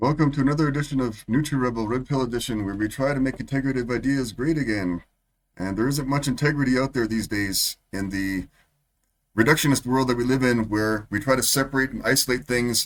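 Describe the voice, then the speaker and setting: At a fairly quick pace, a man with a normal speaking voice talks at a medium pitch with ordinary pitch variation, in a very clean recording with a silent background. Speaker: political and health commentary channel host. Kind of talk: opinion commentary over clips.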